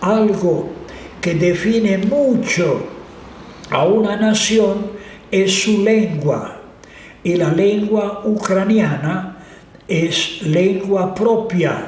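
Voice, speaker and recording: A man with a Croatian accent talks at a very slow pace, leaving long, frequent pauses, his pitch high for a man with ordinary variation. Loudness stays very even over noticeable background noise and audible room echo. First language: Croatian (speaking Spanish). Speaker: priest. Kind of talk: interview. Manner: halting.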